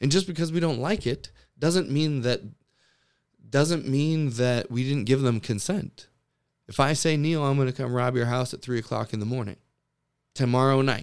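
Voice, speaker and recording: In a very clean recording with a silent background, a man talks at a moderate pace in a medium pitch. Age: 30s. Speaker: podcast host. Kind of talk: casual chat.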